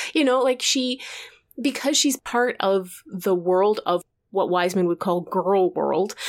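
A woman speaks in a plain, everyday voice at medium pitch with lively intonation. Her loudness stays very even, and the pace is fairly slow. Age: 40s. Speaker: podcast co-host. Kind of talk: casual chat.

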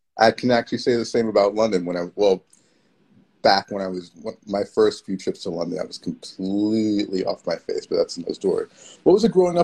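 With a New York accent, a man talks at a fairly quick pace in a dry, close sound with no echo. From New York City. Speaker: event producer and community organizer. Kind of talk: casual interview. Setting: Instagram Live video call.

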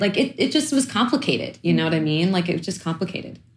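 Somewhat breathy, a woman talks at a fairly quick pace with an American accent. Her pitch sits in the medium range. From East New York, Brooklyn. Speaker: chef and food activist. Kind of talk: interview conversation.

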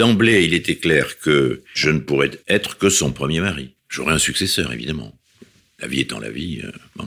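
A man with a very deep, low pitch and a bright, sharp tone speaks at a fairly slow pace with lively intonation and vocal fry. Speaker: academic, husband telling love story. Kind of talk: personal testimony.

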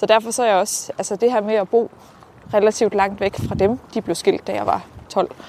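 A woman talks at a moderate pace in a fairly high voice with fairly even intonation. It is an unremarkable speaking voice. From Denmark, Herning area (central Jutland). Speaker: local politician. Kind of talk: casual interview. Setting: outdoors, walking.

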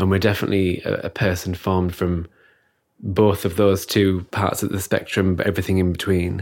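Very deep, low male voice at a fairly quick pace, monotone and flat, in a very clean recording with a silent background. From northern England, Stockton on Teesside. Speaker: arts producer and festival founder. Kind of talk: interview. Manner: soft-spoken.

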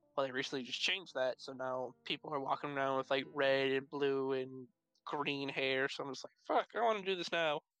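Dry and close with no echo, a man's fairly high, bright, sharp voice comes with an American accent, a fairly quick pace and ordinary pitch variation. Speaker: podcast co-host. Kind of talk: casual chat.

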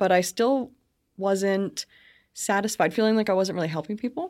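Here is a woman with a normal speaking voice, medium in pitch and ordinary in its variation, moving at a fairly quick pace. The recording is very clean with a silent background and a dry, close sound with no echo. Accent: Canadian. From Brantford, Ontario, Canada. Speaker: business consultant. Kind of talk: casual interview. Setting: studio.

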